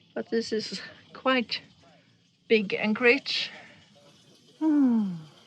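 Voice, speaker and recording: Over noticeable background noise, a woman talks at a very slow pace with a fairly high pitch. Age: middle-aged. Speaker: sailing vlogger. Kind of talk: casual vlog narration. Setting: outdoors on a sailboat.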